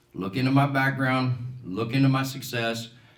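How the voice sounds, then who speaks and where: A man with an American accent speaks at a medium pitch, somewhat breathy. Room echo is audible. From Colorado, US. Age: 60s. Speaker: political candidate, business owner. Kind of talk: campaign speech.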